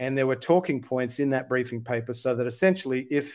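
A man with an Australian accent speaks at medium pitch with fairly even intonation. The recording is very clean, with a silent background. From Sydney, Australia. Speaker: UFO researcher and advocate. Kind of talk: podcast interview.

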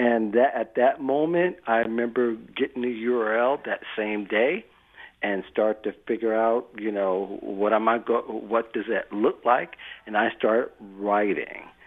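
Speaking at a fairly slow pace, a man keeps a fairly low pitch and fairly even intonation.

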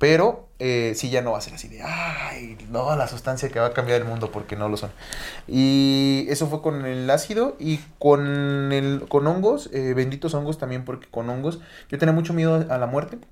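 With a Mexican accent, a man speaks at a fairly high pitch with ordinary pitch variation over noticeable background noise. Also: moderate pace. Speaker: podcast co-host. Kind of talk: casual chat.

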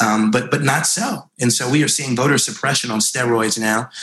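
With an American accent and a normal speaking voice, a man talks at a fairly quick pace and medium pitch, with ordinary pitch variation. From US Northeast, New York (Rockland County). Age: 30s. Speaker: congressman. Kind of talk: interview.

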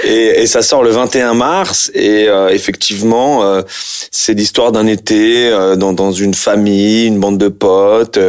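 Noticeable background noise sits under a man speaking at a very slow pace. His fairly low voice holds very even loudness and fairly even intonation. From France, Algerian heritage. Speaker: actor. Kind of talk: casual interview. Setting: sitting on a couch. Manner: halting, repetitive hesitations.

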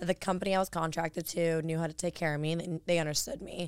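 In a very clean recording with a silent background, a woman speaks at a very fast pace. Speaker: adult performer and model. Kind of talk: casual chat. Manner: animated, talks fast.

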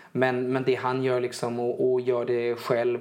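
A man at a moderate pace with fairly even intonation and noticeable background noise. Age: 20s. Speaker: singer-songwriter. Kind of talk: casual chat. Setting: home living room. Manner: halting, many repeated words.

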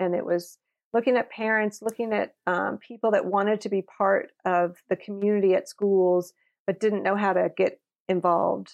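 Heard dry and close with no echo, a woman with an American accent speaks at a moderate pace and medium pitch, her loudness very even and her intonation fairly even. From California (Napa). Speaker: modeling agency founder. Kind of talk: interview.

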